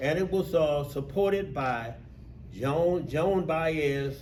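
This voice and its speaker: A man with a Mississippi accent, fairly high in pitch, with lively intonation and audible room echo. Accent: Southern US, Mississippi. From US South, rural Mississippi. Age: 70s. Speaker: civil rights veteran and union steward. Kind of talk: talk to an audience. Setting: talk to a group of union workers.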